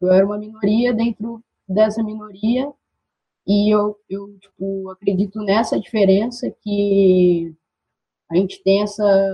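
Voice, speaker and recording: At a very slow pace, a woman talks in a medium pitch with fairly even intonation and a somewhat breathy sound. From Brazil, interior of São Paulo state. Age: 20s. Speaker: activist and physical education student. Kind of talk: casual discussion.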